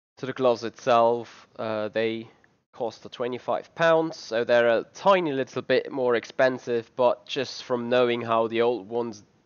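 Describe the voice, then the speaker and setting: This speaker has a non-native accent and a moderate pace. The intonation stays fairly even. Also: man, medium pitch for a man. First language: not English. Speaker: sim racing channel host. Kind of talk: product unboxing review. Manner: halting, many fillers.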